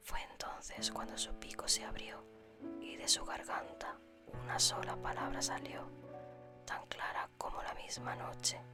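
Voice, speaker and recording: Someone whispers in a calm tone at a fairly slow pace, with music in the background. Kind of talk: whispered ASMR story reading for sleep. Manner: whispered, soft, calm.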